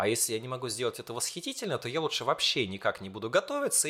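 Vocal fry runs through a man's bright, sharp tone, with very wide pitch swings on a very clean recording with a silent background. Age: 20s. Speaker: school teacher. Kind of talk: casual chat.

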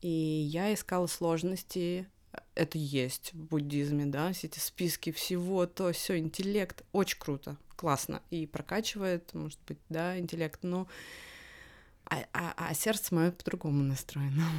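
A woman's fairly low voice at a fairly slow pace, ordinary in pitch variation, in a very clean recording with a silent background. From Russia. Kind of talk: casual interview chat. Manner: hesitant with many fillers.

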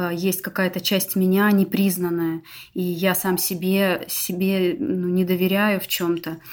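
An ordinary speaking voice moves at a fairly slow pace with fairly even intonation. The recording is very clean, with a silent background. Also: woman. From Russia, Novosibirsk. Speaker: business owner, team development expert. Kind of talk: interview on a live stream.

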